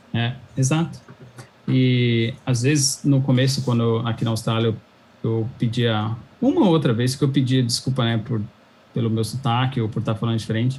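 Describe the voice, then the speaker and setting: A man speaks at a moderate pace and medium pitch, somewhat breathy, with fairly even intonation and long, frequent pauses. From São Paulo, Brazil. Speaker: cloud engineer. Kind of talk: interview chat.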